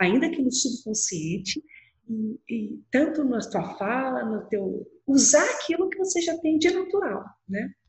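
A woman's voice with vocal fry, very wide pitch swings and a fairly slow pace. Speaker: lawyer. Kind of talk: interview conversation. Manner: clear, objective.

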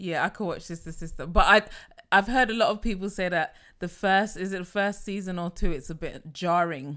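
A woman with a bright, sharp tone speaks at a moderate pace with hardly any pauses. The recording is very clean, with a silent background. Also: medium pitch for a woman, ordinary pitch variation, big swings in loudness. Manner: enunciates clearly; giggly.

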